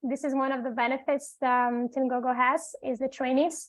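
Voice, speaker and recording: Speaking fast-ish in a Portuguese accent, a woman keeps her high voice fairly even in intonation. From Brazil. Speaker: executive assistant. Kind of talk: self-introduction.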